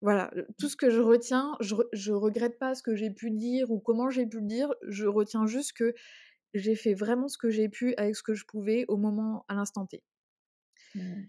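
A woman at a fairly high pitch and moderate pace, fairly even in intonation, on a very clean recording with a silent background. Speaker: podcast co-host, entrepreneur. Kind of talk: personal testimony in casual chat. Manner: halting, emotional.

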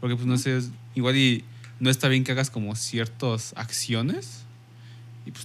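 A man talks at a moderate pace in a Mexican accent. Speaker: podcast guest. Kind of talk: casual chat.

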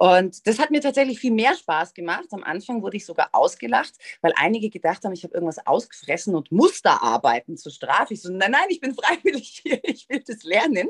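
A woman's fairly high voice at a fairly quick pace, with very wide pitch swings, big swings in loudness, hardly any pauses, and a dry, close sound with no echo. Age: 40s. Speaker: influencer and TV presenter. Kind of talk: interview.

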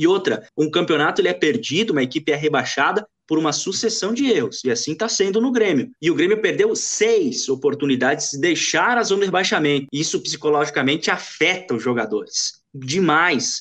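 With hardly any pauses, a man speaks at a high pitch that makes very wide swings. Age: 20s. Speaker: sports journalist. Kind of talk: casual sports chat.

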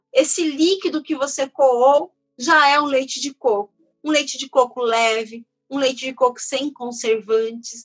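With ordinary pitch variation, the woman's voice sits at a high pitch. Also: fairly slow pace. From São Paulo, Brazil. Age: 30s. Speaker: chef and culinary researcher. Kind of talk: interview.

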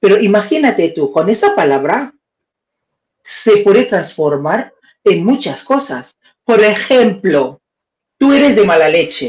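Delivered at a fairly slow pace with very even loudness, the voice has vocal fry and very wide pitch swings, with long, frequent pauses throughout. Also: woman, medium pitch for a woman. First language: not Spanish (speaking Spanish). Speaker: live-stream news and debate co-host. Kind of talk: casual live-stream chat. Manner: halting, searching for words.

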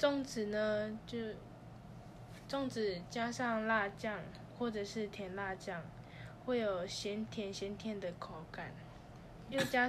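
With audible room echo, a woman speaks at a very slow pace in a somewhat breathy voice at a fairly high pitch, with ordinary pitch variation. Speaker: student podcast host. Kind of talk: scripted podcast monologue.

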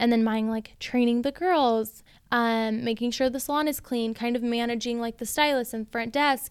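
In a very clean recording with a silent background, a woman speaks loudly at a moderate pace, her high voice animated. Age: 20s. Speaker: salon owner, entrepreneur. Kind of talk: casual interview chat. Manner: loud, outgoing, animated.

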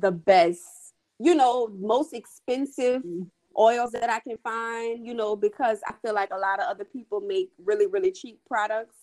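With a New Orleans accent and lively intonation, the voice comes through in a dry, close sound with no echo. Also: woman. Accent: New Orleans Southern US. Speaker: skincare entrepreneur. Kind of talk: casual interview chat.

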